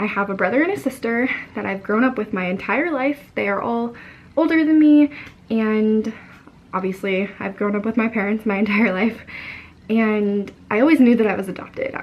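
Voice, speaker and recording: Against noticeable background noise, a woman with a fairly high pitch speaks at a fairly quick pace. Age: young. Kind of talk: casual talk to camera.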